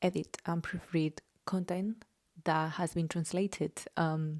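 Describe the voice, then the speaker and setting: A woman speaks with a slight Spanish accent at a very deep, low pitch in a dark, mellow tone. Her intonation is monotone and flat, and the sound is dry and close with no echo. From Spain. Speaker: journalist and vlogger. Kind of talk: casual vlog monologue. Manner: hesitant, many filler ums.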